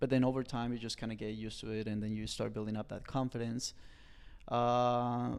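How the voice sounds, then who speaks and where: A man with a Colombian accent speaks fairly quickly at medium pitch with monotone, flat intonation. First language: Spanish. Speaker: personal trainer. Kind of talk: podcast interview.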